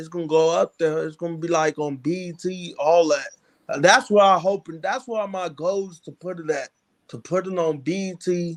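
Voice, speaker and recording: An American-accented man talks at a moderate pace in a high voice, with ordinary pitch variation. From Chicago. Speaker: aspiring filmmaker. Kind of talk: interview. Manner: halting.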